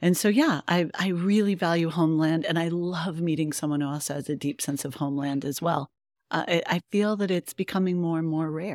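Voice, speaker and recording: Heard on a very clean recording with a silent background, a woman with an American accent and an unremarkable speaking voice talks fairly quickly at a fairly low pitch with ordinary pitch variation, the sound dry and close with no echo. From Colorado. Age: 50s. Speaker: novelist and literature teacher. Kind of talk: interview. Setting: live before a bookstore event.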